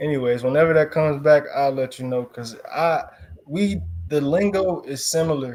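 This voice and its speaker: Speaking with an American accent, a man keeps a moderate pace and ordinary pitch variation. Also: fairly high pitch for a man. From Chicago, US. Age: 20s. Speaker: football player. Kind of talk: interview.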